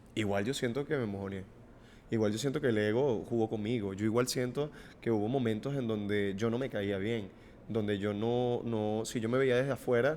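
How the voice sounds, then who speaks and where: Speaking at a moderate pace, a man with a Venezuelan accent keeps his intonation fairly even. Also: medium pitch for a man. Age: 20s. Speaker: podcast host, TV presenter. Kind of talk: casual conversation.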